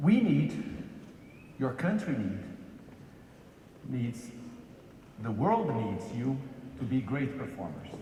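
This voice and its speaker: Amid noticeable background noise and audible room echo, a man speaks very slowly with long, frequent pauses and very wide pitch swings. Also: medium pitch for a man. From Brazil. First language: Portuguese. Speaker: corporate executive. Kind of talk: keynote lecture. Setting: stage with large audience. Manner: halting with fillers.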